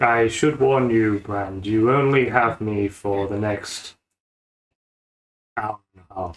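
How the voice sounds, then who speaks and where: A man puts on a character voice, pitched fairly low and delivered at a fairly slow pace. Long pauses come often. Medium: actual play.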